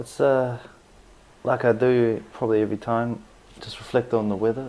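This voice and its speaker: Spoken with a New Zealand accent, the voice is dark and mellow in tone, monotone and flat in intonation, at a fairly quick pace. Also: man. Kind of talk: casual podcast talk.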